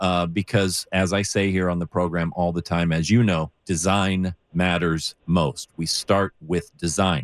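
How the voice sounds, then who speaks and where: A man's very deep, low voice, fairly slow and fairly even in intonation, with a dry, close sound and no echo. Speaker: radio host. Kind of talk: call-in radio show. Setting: radio studio, live broadcast.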